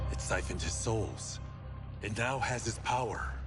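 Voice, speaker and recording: Loud music plays behind a man doing a put-on character voice at medium pitch and a moderate pace. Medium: game stream.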